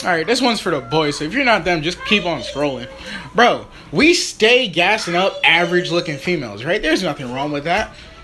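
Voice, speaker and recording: With faint music underneath, a man speaks fairly quickly. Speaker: short-video creator. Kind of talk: casual vlog rant. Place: home room. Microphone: phone near.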